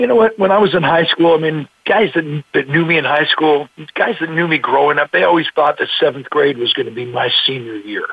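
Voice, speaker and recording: This man has a fairly high pitch and a plain, everyday voice. He talks at a fairly quick pace with lively intonation and hardly any pauses. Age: 60s. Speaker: motivational speaker. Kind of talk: interview.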